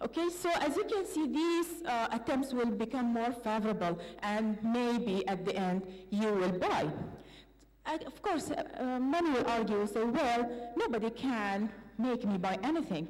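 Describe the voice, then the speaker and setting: A woman speaks at a fairly slow pace in a high pitch, her pitch swinging very widely. Noticeable background noise and audible room echo surround her voice. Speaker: PhD student presenter. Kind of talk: academic presentation. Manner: hesitant, many fillers.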